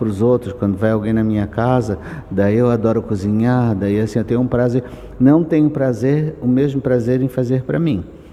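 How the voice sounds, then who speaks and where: Background noise is noticeable as a man speaks at a moderate pace and medium pitch. His loudness stays very even and his pitch varies in an ordinary way. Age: 70s. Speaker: writer and artist. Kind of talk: interview. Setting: book fair.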